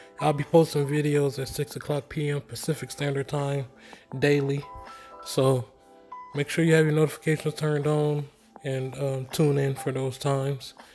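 The voice holds a monotone, flat intonation at a moderate pace. Faint music plays in the background. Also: man. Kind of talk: casual tutorial chat. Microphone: phone near.

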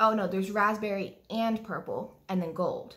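Fairly slow, somewhat breathy speech from a woman. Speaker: beauty hobby vlogger. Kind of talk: casual unboxing vlog chat. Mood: excited, cheerful. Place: kitchen. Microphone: phone near.

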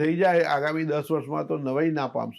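Fairly even intonation in a man's normal speaking voice, pitched fairly high. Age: 60s. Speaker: chartered accountant and government finance official. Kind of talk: interview.

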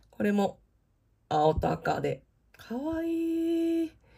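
A woman with a somewhat breathy voice speaks with very wide pitch swings. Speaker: theme park vlogger. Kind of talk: product showcase narration. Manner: polite, formal.

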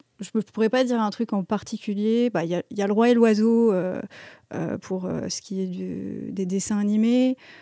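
A woman speaks at a fairly slow pace in a monotone, flat intonation with a dark, mellow tone. The background is quiet and the sound is dry, with no echo. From Metz, France; France. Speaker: composer and musician; guest. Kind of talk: casual chat interview. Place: shop. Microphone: studio mic.

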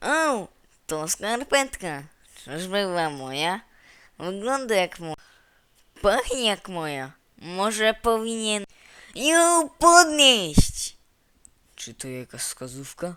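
In a put-on character voice, a man speaks in a high pitch with very wide pitch swings, a fairly slow pace and long, frequent pauses. The recording is very clean, with a silent background. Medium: fan dub. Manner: loud, theatrical.

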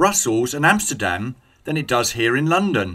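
With a British accent and a bright, sharp tone, a man swings his pitch very widely at a moderate pace on a very clean recording with a silent background. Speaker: English teacher. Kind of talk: scripted dialogue for English learners.

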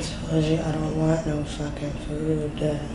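A woman speaking at a fairly slow pace over loud background noise. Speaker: actor in a drama scene. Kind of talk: scripted drama dialogue. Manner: weak, irritated voice of an injured patient. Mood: irritated, refusing food. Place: home room.

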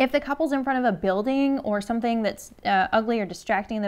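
A woman at a very fast pace, with ordinary pitch variation. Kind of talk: tutorial. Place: studio.

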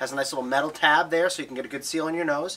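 The intonation stays fairly even. The speaker is a man. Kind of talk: product tutorial. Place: shop.

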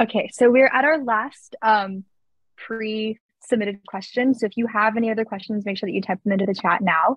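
A woman, somewhat breathy and at a fairly quick pace, with ordinary pitch variation, a dry sound with no echo and a quiet background. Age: young. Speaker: student moderator. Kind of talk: moderated Q&A. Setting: video call. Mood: friendly, upbeat. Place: home room. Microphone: video call.

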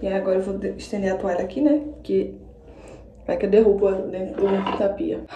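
A woman's voice with audible room echo. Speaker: vlogger. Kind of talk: casual vlog chat. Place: bathroom. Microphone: phone near.

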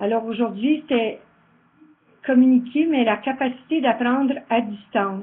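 A high-pitched woman's voice at a very slow pace, with ordinary pitch variation. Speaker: event organizer closing the day. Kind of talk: closing remarks, thanks.

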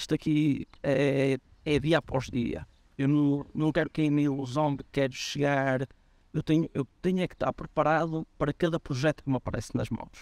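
A man at a fairly high pitch in monotone, flat intonation, moderate in pace, with a dry, close sound and no echo. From northern Portugal, Guimarães area. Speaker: football coach. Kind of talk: interview. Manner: halting, many fillers and repetitions.

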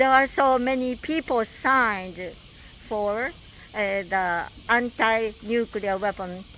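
A woman with a Japanese accent speaks very slowly, with long, frequent pauses and lively intonation. Light background noise can be heard. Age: 80s+. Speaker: atomic bomb survivor and peace activist. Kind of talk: recorded video message. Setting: outdoors. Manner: halting. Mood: earnest, hopeful. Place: street. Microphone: handheld.

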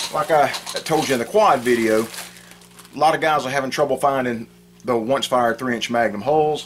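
A man speaks with ordinary pitch variation at a moderate pace while noticeable background noise runs underneath. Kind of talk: tutorial. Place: home room. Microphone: phone near.

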